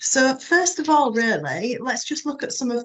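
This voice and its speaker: Speech comes at a moderate pace with a Yorkshire accent. The intonation is lively. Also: woman. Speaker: webinar presenter for a rail business membership organisation. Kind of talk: business webinar presentation. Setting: online webinar. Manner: hesitant, many fillers (um).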